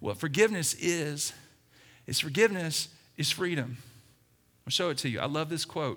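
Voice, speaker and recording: Loud and animated, a speaker with an American accent uses a bright, sharp tone and lively intonation, leaving long, frequent pauses on a very clean recording with a silent background. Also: man, fairly high pitch for a man, moderate pace. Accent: Southern US, fading. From US South, Alabama. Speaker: pastor. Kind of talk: sermon. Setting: church.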